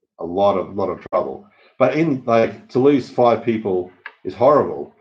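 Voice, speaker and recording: Lively intonation marks a man talking at a moderate pace. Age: 40s. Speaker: expat vlogger. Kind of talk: casual chat. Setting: live stream. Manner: halting.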